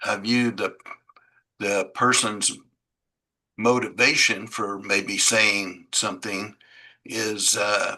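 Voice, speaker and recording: A man speaks very slowly in a fairly low voice. His tone is bright and sharp, his intonation flat and monotone. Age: 70s. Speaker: audience member asking a question. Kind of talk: question from audience in online discussion. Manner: halting, many fillers.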